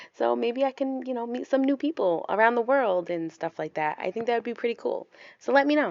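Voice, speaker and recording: Fairly quick, lively speech from a woman with an American accent and a fairly high pitch. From US Northeast, Rhode Island. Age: 20s. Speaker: stay-at-home mom vlogger. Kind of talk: casual vlog chat. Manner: casual, chatty.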